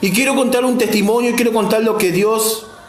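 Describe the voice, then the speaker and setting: Music plays in the background as a man talks at a moderate pace. His voice is high, with audible room echo. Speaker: lay preacher. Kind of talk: sermon with personal testimony.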